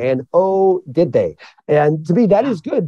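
A man with a Midwestern American accent and very wide pitch swings. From rural central Illinois (Mattoon). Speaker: author and journalist. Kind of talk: interview conversation. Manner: animated.

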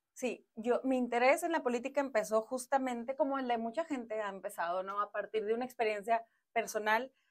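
A woman talks at a fairly quick pace with hardly any pauses, her fairly high pitch showing ordinary variation. The background is quiet. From Mexico, Monterrey; Nuevo León, Mexico. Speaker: politician, former city councillor. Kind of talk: interview. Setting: studio. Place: studio. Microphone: lapel.

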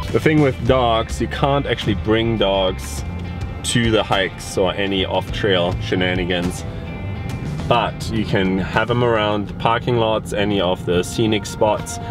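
A man at a fairly slow pace, in a dry sound with no echo, with clear music in the background. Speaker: travel vlogger. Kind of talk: casual vlog chat. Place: car. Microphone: phone near.

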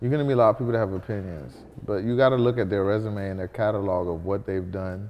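A man talks in a fairly low voice. His pace is very fast. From Kenya. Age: 30s. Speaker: guest. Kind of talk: interview. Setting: studio. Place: home room.

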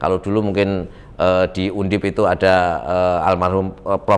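The speaker is a man with a fairly low voice. He keeps a moderate speed. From Semarang, Central Java; Central Java, Indonesia. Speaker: political candidate; candidate. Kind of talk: interview. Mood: relaxed, animated storytelling. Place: studio. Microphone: lapel.

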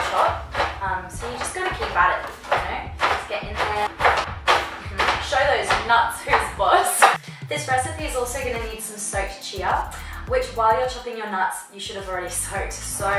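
Clear music plays behind a woman speaking at a moderate pace. Room echo is audible. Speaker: cooking show host. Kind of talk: tutorial. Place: kitchen. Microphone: camera far.

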